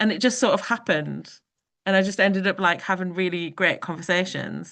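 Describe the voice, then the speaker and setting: Delivered with a Geordie accent, the speech runs at a very fast pace with ordinary pitch variation. The background is quiet. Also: woman. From northern England, Newcastle (Geordie). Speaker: performance artist. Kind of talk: panel discussion. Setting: video call.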